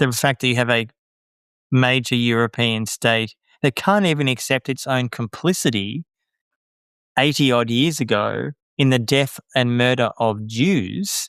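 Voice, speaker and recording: A man with an Australian accent talks at medium pitch and a fairly slow pace with ordinary pitch variation and long, frequent pauses, in a very clean recording with a silent background and dry, close sound with no echo. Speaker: journalist and author. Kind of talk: interview. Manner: animated.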